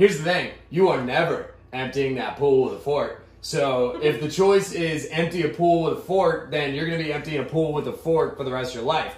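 Noticeable background noise sits under a man with an American accent. He talks at a moderate pace with hardly any pauses, his fairly high pitch showing ordinary variation. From Pittsburgh, Pennsylvania. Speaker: podcast co-host. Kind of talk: casual chat.

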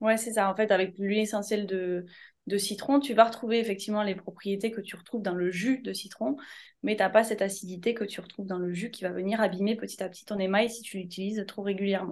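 Woman at a medium pitch, very fast pace, fairly even intonation and big swings in loudness. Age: 30s. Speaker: essential oils wellness consultant. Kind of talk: interview.

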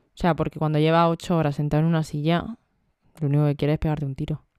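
On a very clean recording with a silent background, a woman speaks in a very deep, low voice with a dark, mellow tone. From Almería, Spain. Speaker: podcast co-host. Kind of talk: casual chat.

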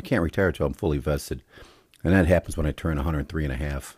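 Talking at a very fast pace with vocal fry, the speaker has an American accent, and the recording is very clean with a silent background. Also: man. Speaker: podcast host. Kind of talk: solo commentary monologue.

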